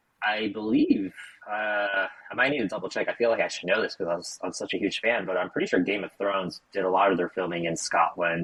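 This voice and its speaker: Against noticeable background noise, a man with an American accent talks at a fairly quick pace, his fairly low pitch showing ordinary variation. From United States. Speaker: podcast co-host. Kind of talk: casual chat.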